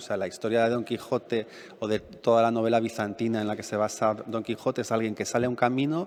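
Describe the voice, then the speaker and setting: In a plain, everyday voice, a man talks at medium pitch and a moderate pace. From Madrid, Spain. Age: 50s. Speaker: novelist. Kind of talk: public talk Q&A. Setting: library event with audience.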